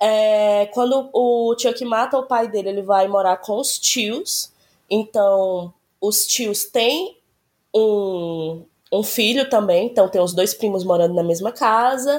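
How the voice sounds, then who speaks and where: The woman speaks at a very slow pace. Her pitch is fairly high, with ordinary variation. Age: 30s. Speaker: podcast guest recommending a TV series. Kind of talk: casual chat.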